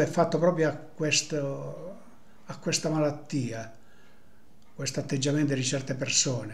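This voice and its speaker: A man speaks fairly slowly in a fairly high, somewhat breathy voice with ordinary pitch variation and long, frequent pauses. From Apulia, Italy. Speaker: storyteller of local sayings. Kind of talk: folk tradition storytelling. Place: home room. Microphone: webcam.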